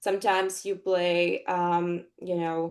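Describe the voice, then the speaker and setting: With a Russian accent, a woman is talking. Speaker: actress. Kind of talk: interview. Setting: podcast interview. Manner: hesitant, many fillers.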